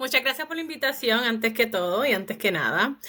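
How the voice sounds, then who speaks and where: The voice has a Puerto Rican accent and a bright, sharp tone. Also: woman. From Puerto Rico. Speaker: psychologist. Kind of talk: podcast interview.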